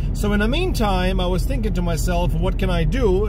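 A man's voice in a dry sound with no echo, over music in the background. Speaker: music collector vlogger. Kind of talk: casual vlog chat. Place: car. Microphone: phone near.

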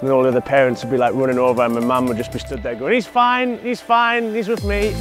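Clear music plays behind a man talking. He speaks at a very fast pace, and the sound is dry with no echo. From Newcastle, England. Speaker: professional enduro motorcycle racer. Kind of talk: casual talk to camera while touring hometown. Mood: cheerful, nostalgic. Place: garden.

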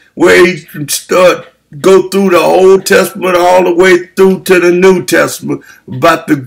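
Against a quiet background, a man speaks fairly slowly in a high, monotone voice with flat intonation and very even loudness. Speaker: preacher. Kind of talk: sermon. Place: home room. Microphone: webcam.

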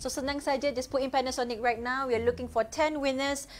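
With light background noise behind her, a woman speaks at a fairly quick pace. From Malaysia. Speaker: co-host of live event; event host. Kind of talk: live stream host patter. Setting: online live stream. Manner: excited, quick. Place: studio.

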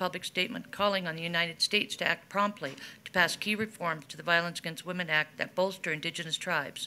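This is a woman speaking. She talks very fast. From interior Alaska. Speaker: nonprofit executive director. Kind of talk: formal testimony. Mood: serious, earnest. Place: meeting room. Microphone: podium.

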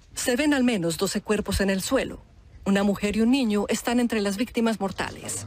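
A woman speaks at a moderate pace in a fairly high, somewhat breathy voice with ordinary pitch variation. Her loudness stays very even. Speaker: news reporter. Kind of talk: news reading. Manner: grave, measured, solemn narration.

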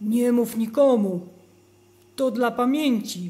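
A female-sounding voice in a put-on character voice speaks at a fairly slow pace with a fairly high pitch. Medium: audio drama. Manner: bewildered, hesitant.

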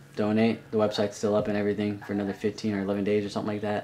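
A man with a fairly low pitch speaks at a very fast pace. Light background noise can be heard. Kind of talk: casual vlog chat. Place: home room. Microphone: webcam.

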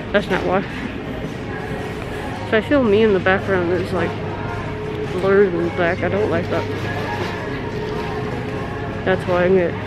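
Over loud background music, the voice comes through dry with no echo at a moderate pace. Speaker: vlogger. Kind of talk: casual vlog chat. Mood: bored, playful. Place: shop. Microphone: phone near.

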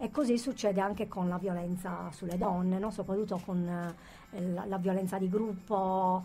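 Over light background noise, a woman with a medium pitch sounds somewhat breathy, with a dark, mellow tone and fairly even intonation. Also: moderate pace. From Sardinia, Sassari; Sardinia. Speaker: author; guest. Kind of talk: radio interview, personal testimony. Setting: radio studio. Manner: halting, many repetitions and fillers. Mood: serious, reflective. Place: studio.

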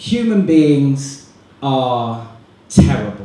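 A man's fairly high voice with a British accent, very wide pitch swings, and audible room echo. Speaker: student comedian and compere. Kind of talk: stand-up comedy. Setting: stage with audience. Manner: animated, rapid-fire, self-deprecating; cheeky, sarcastic, with mock-outrage tangents. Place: hall.

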